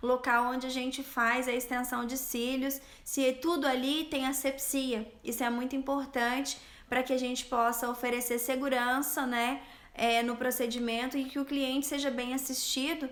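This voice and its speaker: Speaking at a moderate pace, a woman keeps her high voice monotone and flat. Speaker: eyelash extension specialist and instructor. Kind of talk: live stream Q&A. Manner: stumbling, stammering.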